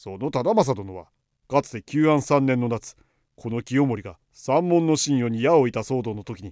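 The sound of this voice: An unforced reading voice with ordinary pitch variation over a quiet background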